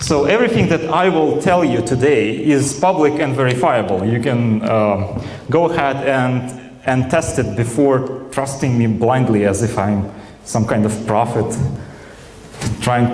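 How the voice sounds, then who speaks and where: A man with a Russian accent speaks at a fairly slow pace and medium pitch, with ordinary pitch variation and very even loudness. Audible room echo and noticeable background noise surround him. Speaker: software engineer, conference speaker. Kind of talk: conference talk. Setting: stage with audience. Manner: hesitant, many fillers.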